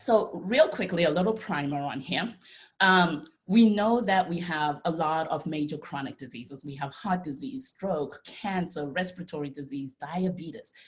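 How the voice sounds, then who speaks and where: Here a woman speaks at a fairly low pitch, somewhat breathy. Her tone is animated and her intonation lively. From Zimbabwe. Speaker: dietitian and nutritionist. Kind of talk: presentation talk. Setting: video call.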